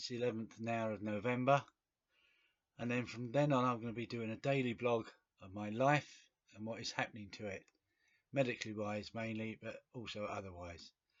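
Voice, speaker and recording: With long, frequent pauses and big swings in loudness, a man speaks at a medium pitch and fairly even intonation. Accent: English. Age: 60s. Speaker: video blogger with cancer. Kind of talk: personal video diary. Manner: hesitant, with fillers.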